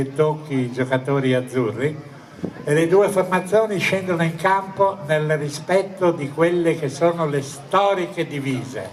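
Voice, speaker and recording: A man's fairly high voice with fairly even intonation, amid noticeable background noise. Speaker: sports commentator. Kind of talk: live football match commentary. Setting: outdoors.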